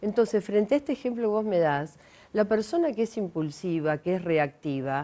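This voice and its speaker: Her tone is dark and mellow, at a medium pitch. This woman talks at a moderate pace with very wide pitch swings. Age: 60s. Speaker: enneagram coach and speaker. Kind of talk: TV interview.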